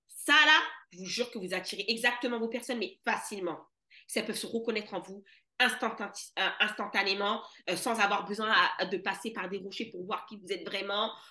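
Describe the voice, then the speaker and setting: Bright, sharp and animated in tone, a woman speaks at a fairly high pitch. She holds a moderate pace with big swings in loudness. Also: ordinary pitch variation. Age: 30s. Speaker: money mentor for entrepreneurs. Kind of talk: casual chat.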